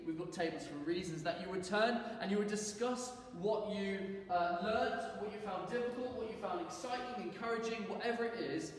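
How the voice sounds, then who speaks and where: Moderate pace and ordinary pitch variation in strong room echo. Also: man. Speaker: church teacher. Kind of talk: sermon. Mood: warm, light-hearted. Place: church. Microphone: camera far.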